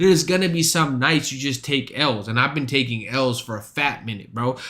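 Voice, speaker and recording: A man talks at a fairly quick pace with a medium pitch and ordinary pitch variation. Background noise is noticeable. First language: not English. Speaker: streamer and stand-up comic. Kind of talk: casual stream chat. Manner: animated.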